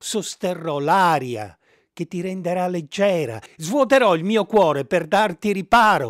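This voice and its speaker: A man with a high pitch and lively intonation talks at a very slow pace in a very clean recording with a silent background, the sound dry and close with no echo. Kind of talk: poem read aloud. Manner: tender, earnest, slow and measured.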